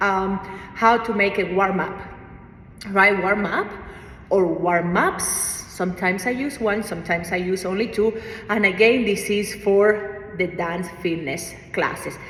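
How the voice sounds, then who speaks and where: Fairly even intonation and a fairly slow pace come through audible room echo and noticeable background noise. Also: woman, medium pitch for a woman. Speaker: fitness instructor. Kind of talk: tutorial. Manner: casual, hesitant with fillers.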